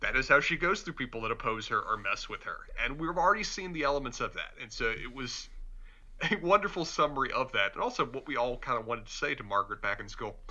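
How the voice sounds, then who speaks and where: Very fast and fairly high in pitch, a man with a slight Southern US accent speaks in a bright, sharp tone, his pitch swinging very widely. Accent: mild Southern US. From Charlotte, North Carolina. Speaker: podcast co-host. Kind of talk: casual chat.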